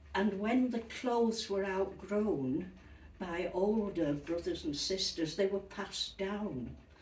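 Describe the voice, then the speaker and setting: In a Yorkshire accent, the voice moves at a very slow pace with lively intonation, amid audible room echo and noticeable background noise. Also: woman. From Yorkshire, northern England. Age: 80s+. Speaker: retired interviewee recalling childhood. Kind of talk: interview, personal recollection.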